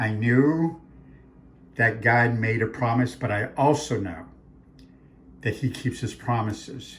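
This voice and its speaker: At a very slow pace with long, frequent pauses, a man with an American accent talks in a somewhat breathy, medium-pitched voice with ordinary pitch variation. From Arizona. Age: 60s. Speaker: author and faith speaker. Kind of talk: talk promoting his books. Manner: animated.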